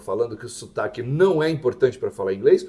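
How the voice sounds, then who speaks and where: A man talks at a fairly quick pace. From Santos, São Paulo, Brazil. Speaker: English teacher, YouTube host. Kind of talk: casual educational chat.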